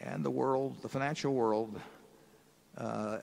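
A man's voice with vocal fry. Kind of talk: q&a answer to audience. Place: hall. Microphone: podium.

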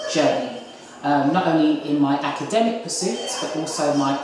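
A woman talks at a moderate pace in a very deep, low voice. Strong room echo and noticeable background noise fill the recording. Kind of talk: interview answer. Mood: earnest, proud. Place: kitchen.

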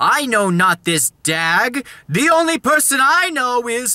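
Dramatic and fairly slow, a man performs a put-on character voice at an extremely high pitch. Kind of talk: comic overacting. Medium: solo performance. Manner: boastful, dramatic, hyper.

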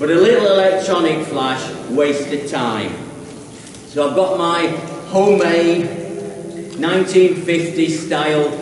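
A man with a high voice speaks at a fairly slow pace with ordinary pitch variation, with audible room echo and light background noise. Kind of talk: tutorial. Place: tunnel cave.

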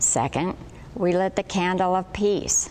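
A woman talks very slowly, with light noise in the background. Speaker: liturgy reader. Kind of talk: liturgical reading. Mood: calm, solemn. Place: church.

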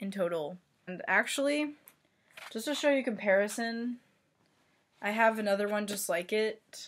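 A woman mumbles at a moderate pace and a medium pitch. Her pitch varies in an ordinary way. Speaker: artist. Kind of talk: casual talk to camera. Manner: mumbled. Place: home room. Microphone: webcam.

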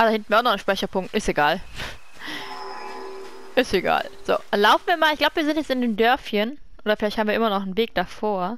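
Over noticeable background noise, a woman with a fairly high voice talks at a very fast pace with lively intonation, broken by long, frequent pauses. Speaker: let's player. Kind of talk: casual gameplay commentary.

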